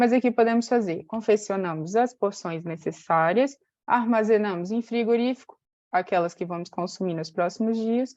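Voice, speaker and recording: This woman has a normal speaking voice with fairly high pitch and ordinary pitch variation. She talks at a moderate pace over a quiet background. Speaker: nutrition educator. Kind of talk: webinar presentation.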